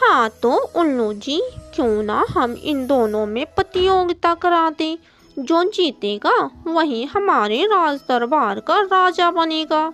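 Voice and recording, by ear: A cartoonish character voice, female-sounding, with an extremely high pitch. It moves at a very slow pace over faint music in the background.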